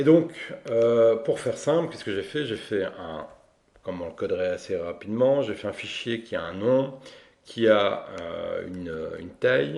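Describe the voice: Speaking at a fairly slow pace, a man uses a fairly low, slightly mellow voice with vocal fry. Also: lively intonation.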